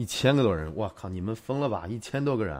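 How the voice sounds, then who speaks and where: This man speaks at a fairly quick pace, his fairly low pitch carried by lively intonation. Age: 30s. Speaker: tech video creator. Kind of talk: live stream chat. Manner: casual, chatty.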